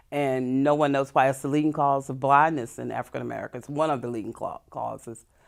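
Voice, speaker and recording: A woman with a very deep, low pitch talks very fast, with hardly any pauses and monotone, flat intonation. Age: 60s. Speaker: glaucoma patient. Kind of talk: interview testimony.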